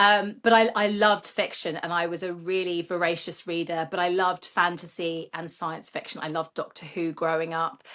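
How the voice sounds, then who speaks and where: Against a quiet background, a woman with a British accent speaks at a moderate pace with hardly any pauses. Her fairly low voice has a bright, sharp tone and a monotone, flat intonation. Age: 40s. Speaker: children's author. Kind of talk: interview. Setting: podcast.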